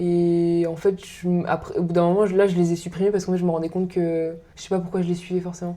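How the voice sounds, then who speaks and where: Very fast, monotone woman with fairly low pitch and flat intonation. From northern France. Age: 30s. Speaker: podcast guest. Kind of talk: casual chat.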